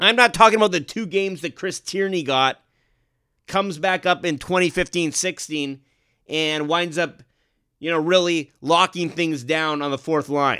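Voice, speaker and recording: This man has a high voice with a bright, sharp tone and ordinary pitch variation, speaking at a moderate pace on a very clean recording with a silent background. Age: 30s. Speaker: sports podcast host. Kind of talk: solo sports commentary podcast.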